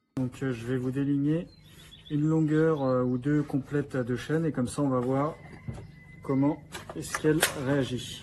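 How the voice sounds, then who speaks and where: Noticeable background noise sits behind a man with a fairly high pitch and monotone, flat intonation. He talks at a fairly slow pace with long, frequent pauses. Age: 20s. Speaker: carpenter reviewing a power tool. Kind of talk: product demonstration. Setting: workshop. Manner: casual with fillers.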